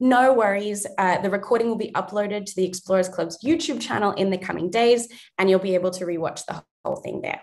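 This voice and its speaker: A woman at a medium pitch. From USA and Australia. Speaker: panel host and filmmaker. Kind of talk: panel introduction.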